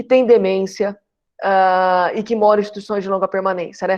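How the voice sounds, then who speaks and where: A woman's voice at a medium pitch. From Brazil, interior of São Paulo state. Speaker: geriatrics professor. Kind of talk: lecture. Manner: fast.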